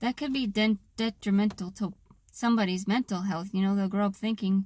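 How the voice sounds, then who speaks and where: A woman with an American accent speaks at a moderate pace and medium pitch, somewhat breathy, with fairly even intonation, in a dry, close recording with no echo that is very clean against a silent background. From US Pacific Northwest, Seattle area. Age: 30s. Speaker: vlogger. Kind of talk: personal vlog monologue. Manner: unusual tone and cadence; halting.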